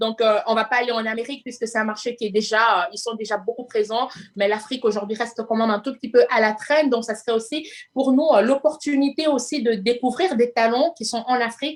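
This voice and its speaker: A woman with a fairly high pitch speaks at a fairly quick pace, showing ordinary pitch variation. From Congo. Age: 30s. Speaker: entrepreneur. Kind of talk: interview. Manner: hesitant, many fillers.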